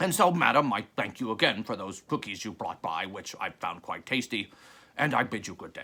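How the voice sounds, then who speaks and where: In a put-on character voice, a man speaks at a medium pitch and a moderate pace, his pitch swinging very widely and his loudness rising and falling sharply. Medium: read story. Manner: formal, stiff.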